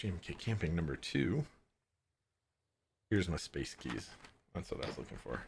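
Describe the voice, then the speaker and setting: A man with an American accent, a very deep, low pitch, vocal fry, very wide pitch swings, and long, frequent pauses. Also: moderate pace. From California. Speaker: keyboard builder streamer. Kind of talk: casual chat while building. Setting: live stream.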